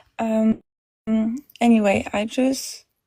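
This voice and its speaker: A woman speaks very slowly with a non-native accent. Her tone is dark and mellow, with ordinary pitch variation. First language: not English. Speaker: caller seeking advice. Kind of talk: live call-in question. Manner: halting, hesitant.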